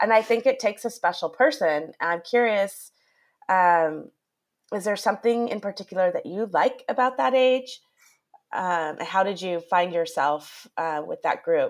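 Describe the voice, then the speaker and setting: A woman with a normal speaking voice talks at a moderate pace, medium in pitch, with lively intonation. The recording is very clean and the background silent. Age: 40s. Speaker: podcast host, former teacher. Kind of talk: interview.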